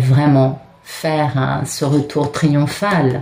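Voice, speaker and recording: A woman's voice amid noticeable background noise. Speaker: tarot card reader. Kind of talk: tarot reading monologue. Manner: hesitant, many fillers.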